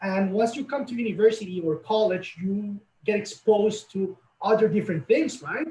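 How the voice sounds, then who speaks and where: With a Latin American accent, a man talks at a moderate pace in a high pitch, his tone dark and mellow and his pitch variation ordinary. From Colombia. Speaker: college representative. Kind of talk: webinar interview.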